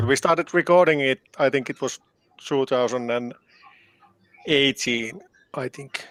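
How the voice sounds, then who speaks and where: Speaking in a Finnish accent, a man at medium pitch moves at a fairly slow pace with long, frequent pauses and ordinary pitch variation, in a dry, close sound with no echo. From Finland. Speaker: band keyboardist and composer. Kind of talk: interview. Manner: halting.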